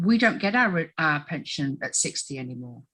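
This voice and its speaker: A woman with an English accent speaks in a bright, sharp tone. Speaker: tribunal witness. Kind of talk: testimony. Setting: recorded tribunal interview. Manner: halting, frequent ums.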